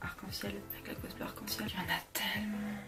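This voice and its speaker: Moderately paced speech from a woman, set against music in the background. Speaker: cosplayer. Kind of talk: casual talk to camera.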